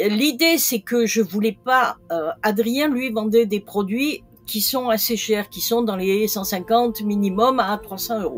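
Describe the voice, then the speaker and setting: Music plays in the background as a woman speaks at a very slow pace with hardly any pauses. Her pitch is fairly high, with ordinary variation. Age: 60s. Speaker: retired e-commerce seller. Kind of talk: interview. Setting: podcast.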